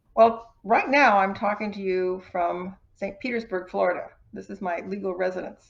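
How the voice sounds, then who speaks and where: With an American accent, this plain, everyday voice moves at a moderate pace, showing ordinary pitch variation and big swings in loudness. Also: woman, medium pitch for a woman. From US Midwest, Wisconsin. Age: 60s. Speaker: retired financial advisor and author. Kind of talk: podcast interview.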